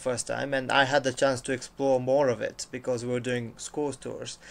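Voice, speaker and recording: A man with a Bulgarian accent, medium pitch, fairly even intonation and a fairly quick pace. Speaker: university international officer. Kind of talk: casual chat. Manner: halting.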